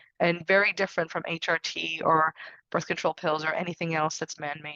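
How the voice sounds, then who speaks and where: A woman speaks at a very fast pace in a fairly low pitch, her tone bright and sharp. Her intonation stays monotone and flat, with a dry, close sound and no echo. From Canada, Syrian immigrant family. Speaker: herbalist. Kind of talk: live webinar Q&A. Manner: casual, with many fillers and repetitions.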